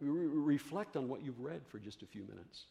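With lively intonation and vocal fry, a man talks at a moderate pace in a dark, mellow tone. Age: 70s. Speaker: pastor. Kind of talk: sermon. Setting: church.

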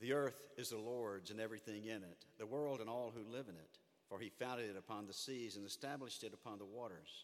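Talking very fast with a Southern US accent, a man keeps a medium pitch with ordinary variation. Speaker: pastor. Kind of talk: sermon. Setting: church.

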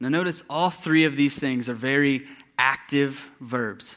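In a very clean recording with a silent background, a man speaks at a medium pitch with fairly even intonation. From East Texas. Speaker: youth pastor. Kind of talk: sermon. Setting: church.

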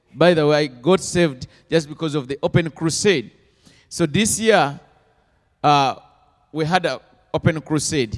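A fairly high-pitched man at a moderate pace with ordinary pitch variation, dry and close with no echo, on a very clean recording with a silent background. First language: not English. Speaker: missionary. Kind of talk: interview testimony in church. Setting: church stage with congregation. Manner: halting.

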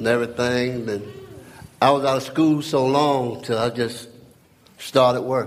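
A man talking at a fairly slow pace with fairly even intonation, plus noticeable background noise. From North Carolina. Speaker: church member. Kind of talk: testimony. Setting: church gathering.

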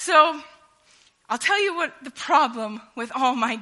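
A woman's raised, projected voice with very wide pitch swings. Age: 30s. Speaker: preacher. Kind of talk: sermon.

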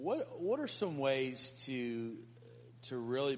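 Noticeable background noise fills the recording. Over it, a man speaks at a fairly slow pace. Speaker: audience member asking question. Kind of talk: asking a question in a group.

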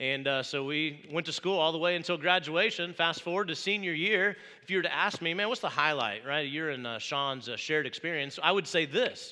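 Fairly quick and with hardly any pauses, a man speaks in a bright, sharp tone at a fairly high pitch. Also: ordinary pitch variation. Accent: Midwestern American. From Indiana, US Midwest. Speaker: pastor. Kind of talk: sermon. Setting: church.

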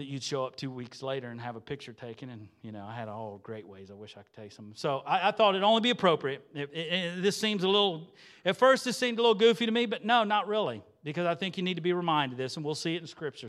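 Talking very fast with hardly any pauses, this man has a fairly high pitch, an animated tone and very wide pitch swings. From southwest Ohio, US (Xenia). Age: 40s. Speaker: lay preacher, former church music leader. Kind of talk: sermon. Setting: church with congregation. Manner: animated, conversational.

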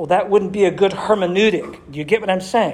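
A man's high-pitched voice with an American accent. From Massachusetts, US. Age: 60s. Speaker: pastor. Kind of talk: sermon. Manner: animated.

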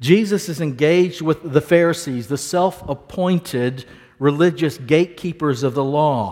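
A man speaks in a plain, everyday voice with a fairly high pitch. His pitch variation is ordinary. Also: moderate pace. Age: 60s. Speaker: pastor. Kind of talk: sermon.

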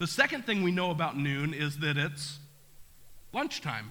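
In a room with audible echo, a man speaks in a bright, sharp tone with ordinary pitch variation. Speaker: pastor. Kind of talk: sermon. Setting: church.

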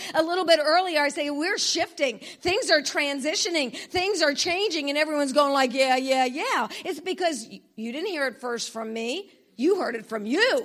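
A woman with a high pitch talks at a moderate pace, animated in tone and lively in intonation. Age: 60s. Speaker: conference speaker / preacher. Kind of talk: sermon.

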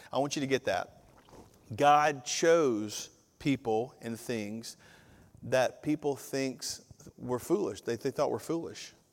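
A man with a Southern US accent at a medium pitch, with ordinary pitch variation, a very slow pace and long, frequent pauses. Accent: Southern US (Georgia). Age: 50s. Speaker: pastor. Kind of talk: sermon. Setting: church. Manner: animated.

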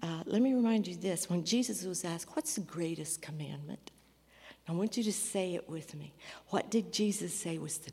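Speaking at a moderate pace, a woman uses a fairly low pitch with ordinary pitch variation, a dark, mellow tone and vocal fry. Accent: American. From US Midwest, rural. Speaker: missionary. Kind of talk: testimony in church service. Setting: church.

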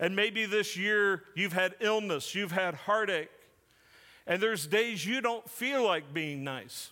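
A man projects a raised, high-pitched voice with a bright, sharp tone and ordinary pitch variation. He speaks at a very slow pace on a very clean recording with a silent background. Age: 40s. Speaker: pastor. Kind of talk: sermon.

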